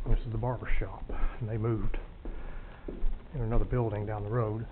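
A man rushes through his words at a very fast pace, his intonation fairly even, with noticeable background noise around him. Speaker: local guide recalling former stores. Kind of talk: walking tour commentary. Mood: nostalgic, matter-of-fact. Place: hall. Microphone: phone near.

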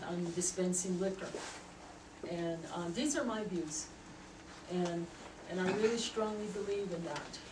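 Noticeable background noise sits behind a woman speaking. Her pace is moderate and her intonation fairly even. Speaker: member of the public giving comment. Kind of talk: public comment at a meeting. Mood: earnest, emotional. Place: meeting room. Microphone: camera far.

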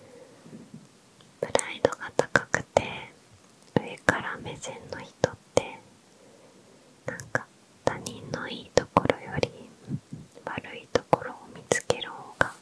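A soft-spoken woman whispering at a very slow pace, with long, frequent pauses, big swings in loudness and a dry sound with no echo. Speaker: ASMR creator. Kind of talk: casual Q&A chat. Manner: soft close-mic ASMR whisper. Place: home room. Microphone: handheld.

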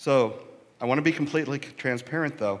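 Lively intonation marks a man speaking at a moderate pace. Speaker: minister. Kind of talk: sermon. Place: church. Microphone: headset.

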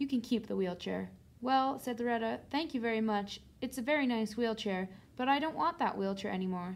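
A passage is being read aloud, delivered in a natural voice.

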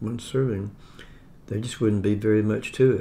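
A man's somewhat breathy voice with fairly even intonation. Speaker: home food reviewer. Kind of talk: casual vlog chat. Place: home room. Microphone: phone near.

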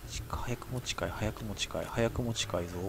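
Over music in the background, the speech runs at a fairly quick pace. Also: man. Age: middle-aged. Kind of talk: game commentary. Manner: excitable, frantic.

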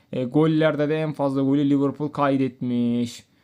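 Fairly high in pitch, a man talks at a moderate tempo. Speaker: gaming youtuber. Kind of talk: gameplay commentary. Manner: animated.

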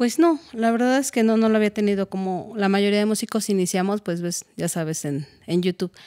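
The woman's tone is dark and mellow. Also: quiet background. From Mexico, Hidalgo (Tula); Hidalgo, Mexico. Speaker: music composition student; interviewee. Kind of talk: interview. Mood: warm, at times emotional. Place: studio. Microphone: studio mic.

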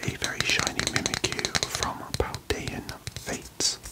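A man whispering at a very slow pace. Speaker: card collector content creator. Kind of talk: casual vlog chat. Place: home room.

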